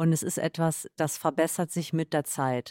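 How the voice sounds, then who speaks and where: A woman speaks with a dark, mellow tone and ordinary pitch variation. The sound is dry and close with no echo, very clean, over a silent background. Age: 30s. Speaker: yoga and meditation practitioner. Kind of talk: casual chat.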